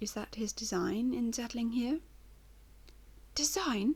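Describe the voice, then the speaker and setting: At a moderate pace, a woman speaks with a dark, mellow tone, a somewhat breathy quality and ordinary pitch variation. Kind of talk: audiobook reading.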